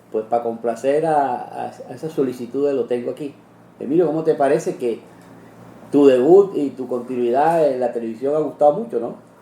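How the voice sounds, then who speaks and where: A man's dark, mellow tone at medium pitch and a moderate pace. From Cartagena, Colombia. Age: old. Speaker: TV interviewer. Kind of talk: interview conversation.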